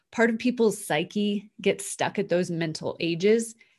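A woman with a normal speaking voice talks at a moderate pace with ordinary pitch variation against a quiet background. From Canada. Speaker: NLP coach and author. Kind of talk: interview storytelling.

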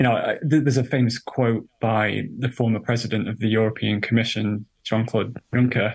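A man with a British accent speaks at a medium pitch and moderate pace, in a monotone, flat intonation with hardly any pauses, over a quiet background. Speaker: journalist and author. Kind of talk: interview.

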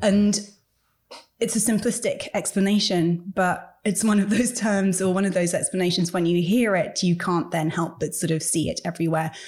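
At a moderate pace, a woman speaks at a medium pitch, somewhat breathy and at very even loudness. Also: ordinary pitch variation. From England. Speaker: author. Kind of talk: interview.

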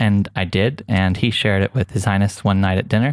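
On a very clean recording with a silent background and a dry, close sound with no echo, a man with an Oklahoma accent talks at a fairly quick pace, his fairly low pitch following a fairly even intonation. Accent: American, Oklahoma. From US, Oklahoma. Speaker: photographer and filmmaker. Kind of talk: casual interview.

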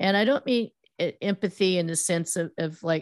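A woman with an American accent uses a plain, everyday voice, fairly low in pitch with ordinary variation. Her moderate pace comes through as a dry, close sound with no echo. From US West Coast, Silicon Valley. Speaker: PR firm founder, former news reporter. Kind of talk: interview.

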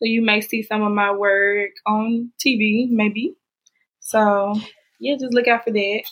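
The speech comes in a Southern US accent at a very slow pace. Its intonation stays fairly even. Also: woman, fairly high pitch for a woman. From Mississippi. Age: 20s. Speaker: makeup artist. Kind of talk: interview.

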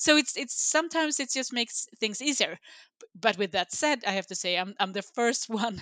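A woman's fairly high voice in a Swedish accent, bright and sharp in tone, with lively intonation at a moderate pace, in a dry, close sound with no echo over a quiet background. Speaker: sustainability executive. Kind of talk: interview.

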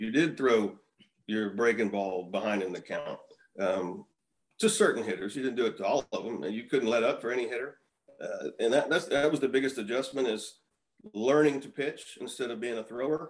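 A man with an American accent has a normal speaking voice at a medium pitch. He talks at a fairly quick pace with ordinary pitch variation. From Texas, Houston. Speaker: retired baseball pitcher. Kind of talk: casual chat.

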